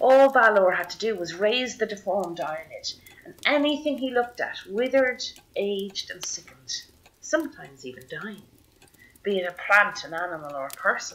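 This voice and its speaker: This Irish-accented voice moves at a moderate pace with very wide pitch swings. Its loudness swings a lot too. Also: woman, fairly high pitch for a woman. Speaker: storyteller. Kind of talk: traditional oral storytelling.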